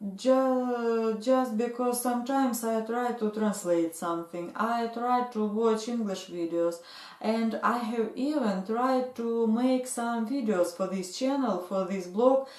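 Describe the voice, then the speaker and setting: A woman with a Russian accent, fairly high in pitch, with ordinary pitch variation, a fairly slow pace, hardly any pauses and noticeable background noise. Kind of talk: casual talk to camera. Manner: hesitant, many fillers.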